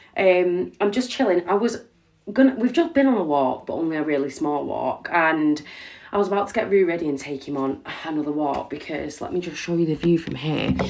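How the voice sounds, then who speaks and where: Quick-paced and fairly low-pitched, a woman with a British accent speaks with lively intonation. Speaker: vlogger. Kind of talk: casual vlog chat.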